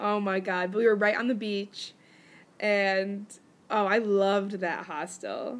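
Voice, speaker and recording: A woman with a medium pitch speaks at a fairly slow pace in an American accent. Her intonation is monotone and flat. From United States. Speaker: podcast host. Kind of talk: casual chat.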